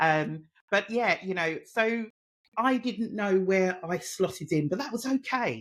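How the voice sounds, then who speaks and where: A woman with a Cockney accent, medium-pitched, at a fairly slow pace with lively intonation. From East London, England. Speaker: mentor and women's empowerment advocate. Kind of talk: podcast interview.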